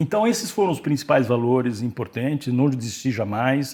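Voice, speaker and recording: A man's voice at a medium speed, captured on a very clean recording against a silent background. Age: 60s. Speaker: company CEO. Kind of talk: interview. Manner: hesitant, many fillers.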